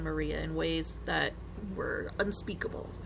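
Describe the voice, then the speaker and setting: A woman speaks with audible room echo. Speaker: gamer. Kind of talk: reading aloud. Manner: soothing.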